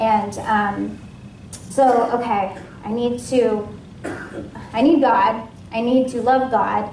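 A woman with an American accent talks very slowly, with long, frequent pauses, a fairly high pitch and fairly even intonation. Audible room echo and light background noise surround her voice. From US Pacific Northwest, Washington State. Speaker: ministry intake coordinator giving a sermon; guest. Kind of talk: sermon. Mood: earnest, personal. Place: church.

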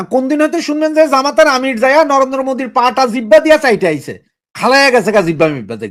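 A man's extremely high voice, animated in tone and lively in intonation. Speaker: political talk show commentator. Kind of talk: political commentary monologue.

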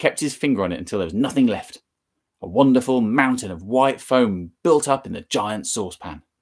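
Behind this plain reading aloud, the background stays quiet.

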